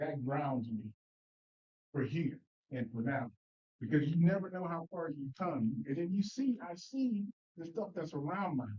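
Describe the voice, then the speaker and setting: In a Mississippi accent, a man speaks at a fairly slow pace with long, frequent pauses. His pitch is fairly high and his intonation lively. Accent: Southern US (Mississippi). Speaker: Sunday school teacher. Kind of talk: Bible study class discussion. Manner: halting, many repetitions and fillers.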